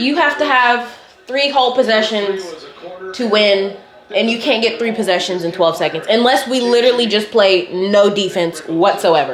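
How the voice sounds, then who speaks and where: A woman with a fairly high pitch speaks in an animated tone at a moderate pace, her intonation lively, with noticeable background noise and audible room echo. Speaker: college student vlogger. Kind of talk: casual vlog to camera.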